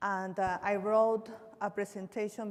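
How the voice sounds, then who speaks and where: This woman has a Peruvian accent and a medium pitch, speaking at a fairly slow pace. Her intonation is monotone and flat, with noticeable background noise behind her. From Peru, Cusco. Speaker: visual artist. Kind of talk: artist talk, reading a prepared statement. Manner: halting.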